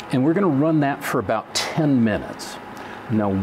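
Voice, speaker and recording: A man talks with very wide swings in pitch. Background noise is noticeable throughout. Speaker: product demonstrator. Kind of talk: tutorial. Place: studio.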